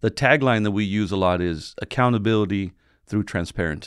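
The voice has an American accent and ordinary pitch variation at a very fast pace. The sound is dry and close, with no echo. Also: man. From San Diego area, California. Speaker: newspaper publisher. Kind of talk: interview.

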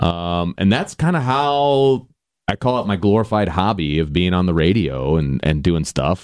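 An unremarkable speaking voice with an American accent moves at a moderate pace over a quiet background. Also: man. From Indiana, South Bend area. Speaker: high school baseball coach and football analyst. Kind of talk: casual interview.

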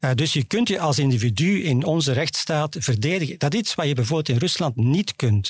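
This man's voice is somewhat breathy and fairly high in pitch, with very even loudness. He talks at a fairly quick pace with hardly any pauses. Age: 60s. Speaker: foreign affairs journalist. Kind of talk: interview. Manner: calm, composed; hesitant, with fillers.

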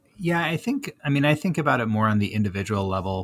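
On a very clean recording with a silent background, a man with an unremarkable speaking voice talks at a fairly low pitch and a fairly quick pace. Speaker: management consultant. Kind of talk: interview.

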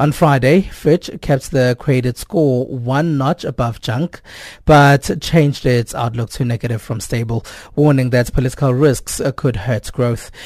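A man with a normal speaking voice and medium pitch talks at a fairly slow pace with ordinary pitch variation, the sound dry and close with no echo. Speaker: radio news presenter. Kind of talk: news broadcast. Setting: studio.

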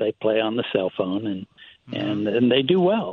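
A man talks with very wide pitch swings. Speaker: caller. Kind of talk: casual chat. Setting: phone call. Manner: halting.

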